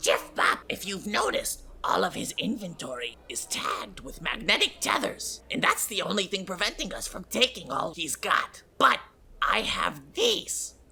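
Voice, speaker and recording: A put-on character voice runs at a moderate pace with hardly any pauses. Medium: actual play. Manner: shifty, defensive, easily worked up.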